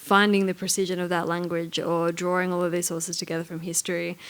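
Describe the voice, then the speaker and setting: A woman's fairly low-pitched voice in an Australian accent, with monotone, flat intonation. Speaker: writer, curator and artist. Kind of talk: on-stage conversation. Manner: fast; halting, many repetitions.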